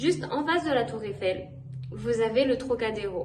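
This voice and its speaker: A woman talks at a fairly slow pace amid noticeable background noise and audible room echo. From France (Paris). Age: 20s. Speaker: language teaching assistant. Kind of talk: informal travel talk to camera. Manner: casual with frequent hesitations.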